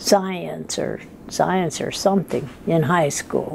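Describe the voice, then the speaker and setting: Amid noticeable background noise, a woman with an American accent speaks very slowly at a fairly low pitch with fairly even intonation. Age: 80s+. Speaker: retired telephone operator. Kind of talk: interview answer, life story.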